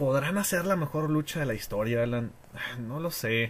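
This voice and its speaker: A somewhat breathy man's voice, fairly high and fairly slow, with lively intonation. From Mexico, Tijuana. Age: 20s. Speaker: wrestling fan. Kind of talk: casual chat.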